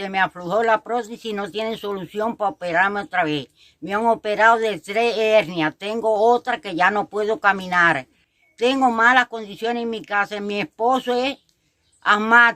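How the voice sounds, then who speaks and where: A bright, sharp tone at a moderate pace with ordinary pitch variation, dry and close with no echo, on a very clean recording with a silent background. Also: woman, medium pitch for a woman. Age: 70s. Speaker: elderly resident. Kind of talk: testimony.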